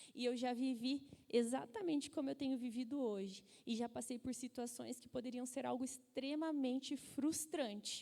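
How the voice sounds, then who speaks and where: Her voice has a dark, mellow tone and a high pitch, and this woman keeps her intonation fairly even. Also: moderate pace. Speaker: motivational speaker. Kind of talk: motivational talk.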